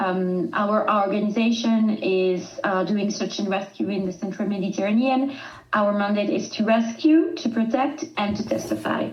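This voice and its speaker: A woman with a French accent talks at a moderate pace and a medium pitch, with ordinary pitch variation and hardly any pauses. Audible room echo and noticeable background noise are present. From southern France. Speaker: rescue charity communications manager. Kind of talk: podcast interview. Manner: halting.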